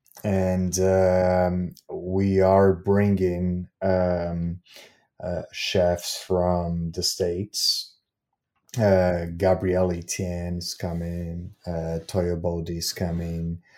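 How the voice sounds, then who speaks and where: A dark, mellow voice with a Portuguese accent speaks at a very slow pace in a flat monotone. The recording is very clean with a silent background. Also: man, very deep, low pitch for a man. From Brazil. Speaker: festival curator and cafe founder. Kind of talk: interview. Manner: halting, many fillers.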